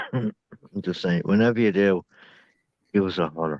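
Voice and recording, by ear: Speaking with an Irish accent, a man with a low pitch goes at a fairly slow pace in a dry, close sound with no echo. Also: ordinary pitch variation.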